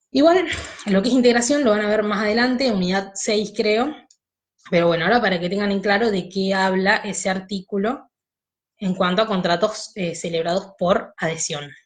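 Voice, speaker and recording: Audible room echo surrounds a woman's somewhat breathy voice. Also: medium pitch for a woman, ordinary pitch variation, moderate pace. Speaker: law teacher. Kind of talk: online lecture.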